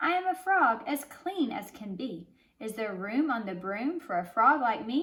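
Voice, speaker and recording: A woman uses a croaky, put-on character voice pitched high. Her pitch swings very widely at a moderate pace. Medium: read story.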